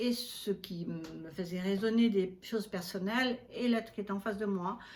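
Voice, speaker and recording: Her pace is fairly slow and her voice somewhat breathy. This woman talks in a medium pitch with ordinary pitch variation. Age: 70s. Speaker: astrologer. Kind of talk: interview.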